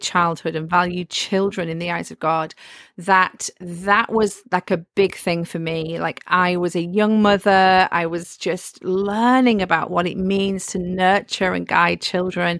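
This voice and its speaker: With a northern English accent, a woman speaks at a fairly slow pace with hardly any pauses and fairly even intonation, recorded very cleanly against a silent background. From northern England. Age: 40s. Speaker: author and home educator. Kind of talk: interview.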